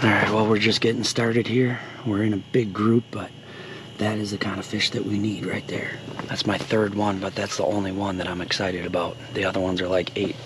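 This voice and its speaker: A man's voice comes through with a dry sound, no echo, and noticeable background noise. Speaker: angler vlogger. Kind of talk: casual vlog chat. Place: tent. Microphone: phone near.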